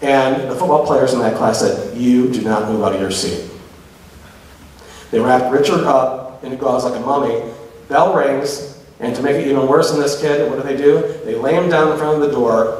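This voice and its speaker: In a room with audible echo, a man speaks at a moderate pace in a passionate tone, his fairly high pitch showing ordinary variation. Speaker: public speaker on LGBTQ issues. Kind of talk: live lecture to audience. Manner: humorous, passionate. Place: hall. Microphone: podium.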